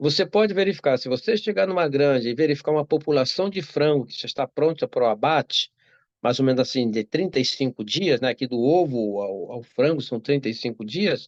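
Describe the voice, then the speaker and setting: Fairly high-pitched and lively in intonation, a man with a Brazilian accent talks at a fairly quick pace, the sound dry and close with no echo against a quiet background. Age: 60s. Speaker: doctor. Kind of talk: interview. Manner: halting.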